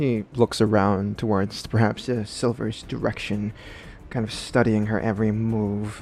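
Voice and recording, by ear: The text is read aloud in a natural voice.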